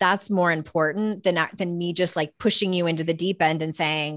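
With an unremarkable speaking voice, a woman speaks at a moderate pace and a fairly low pitch, her intonation fairly even, in a dry, close sound with no echo and a quiet background. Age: 40s. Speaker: author and life coach. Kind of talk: interview.

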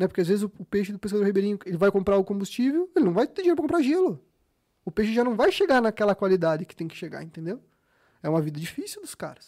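With a Rio Grande do Sul accent, the voice has a dark, mellow tone, lively intonation and big swings in loudness at a very fast pace, in a dry, close sound with no echo. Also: man, high pitch for a man. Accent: gaúcho (Rio Grande do Sul). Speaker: fisheries engineer and fishing lure business owner. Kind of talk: casual interview chat. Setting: studio.

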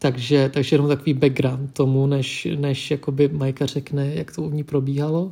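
Speaking at a fairly quick pace with hardly any pauses, a man with a fairly high pitch and a dark, mellow, somewhat breathy tone keeps his intonation fairly even. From Czech Republic, Vietnamese family. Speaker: podcast co-host. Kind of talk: casual chat.

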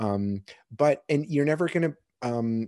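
A man with a Canadian accent speaks in a dark, mellow tone. The sound is dry and close with no echo, over a quiet background. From Kitchener, Ontario, Canada. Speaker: filmmaker. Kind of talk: interview.

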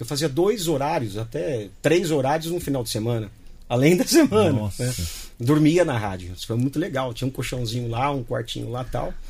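A somewhat breathy man, medium in pitch, with lively intonation. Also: moderate pace. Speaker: radio announcer. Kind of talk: interview. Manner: clear, announcer-style diction.

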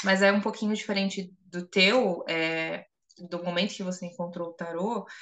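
Medium-pitched female speech at a moderate pace, fairly even in intonation, an unremarkable speaking voice. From Brazil, São Paulo. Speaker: podcast co-host, tarot reader and psychologist. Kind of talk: casual chat.

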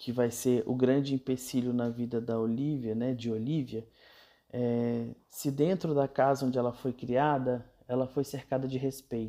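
A man's dark, mellow voice, monotone and flat, at a fairly slow pace against a quiet background. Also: medium pitch for a man. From Brazil, Brasília. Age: 30s. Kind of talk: casual talk on gender and parenting. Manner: hesitant, many fillers.

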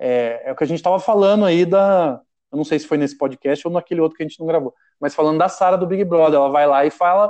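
Against a quiet background, a man talks at a fairly quick pace in a high voice with ordinary pitch variation. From Brazil, Caçapava (São Paulo state). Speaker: humor writer and performer. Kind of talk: casual chat.

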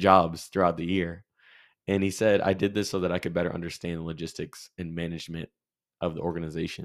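A man talks at a very fast pace in a very deep, low pitch. His intonation stays monotone and flat on a very clean recording with a silent background. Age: 20s. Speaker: podcast host. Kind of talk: casual chat.

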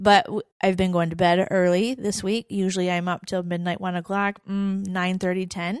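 A plain, everyday voice: a woman at medium pitch, moderate pace, very clean recording with a silent background. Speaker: podcast co-host. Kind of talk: casual chat. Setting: studio with live audience.

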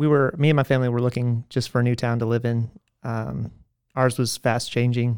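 Speaking at a fairly quick pace in an American accent, a man keeps a medium pitch and a monotone, flat intonation. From US South, Georgia (McDonough, south of Atlanta). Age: 20s. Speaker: church member. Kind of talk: interview. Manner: halting.

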